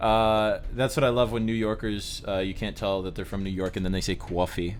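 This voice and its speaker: A man speaks at a fairly quick pace with a fairly low pitch, a plain, everyday voice and fairly even intonation. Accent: American. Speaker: streamer. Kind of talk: game playthrough reading with banter. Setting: live stream.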